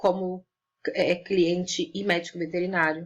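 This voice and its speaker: There is vocal fry in this woman's voice. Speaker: online lecturer on veterinary ethics. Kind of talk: lecture.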